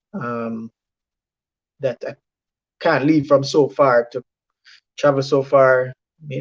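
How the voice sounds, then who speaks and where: A man speaks with a Jamaican accent. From Jamaica, Saint Mary. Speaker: medical doctor, former student. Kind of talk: testimony. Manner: halting, many repetitions.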